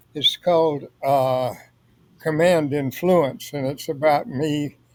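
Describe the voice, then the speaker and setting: Speaking with a Louisiana accent at a fairly slow pace, a man with a fairly high pitch keeps his intonation fairly even. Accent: Southern US (Louisiana). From US South (northwest Louisiana near Texas). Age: 80s+. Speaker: author, retired lawyer. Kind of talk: interview. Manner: halting.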